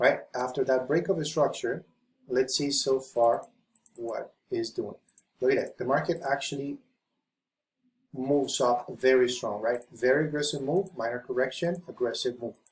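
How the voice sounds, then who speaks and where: A man with a non-native accent talks at a moderate pace, pitched fairly high with ordinary variation. His voice is somewhat breathy, with long, frequent pauses. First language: not English. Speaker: forex trading educator. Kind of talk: tutorial. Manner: halting.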